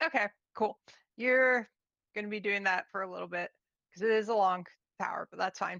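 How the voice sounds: There is ordinary pitch variation in a natural reading voice, with a quiet background behind it.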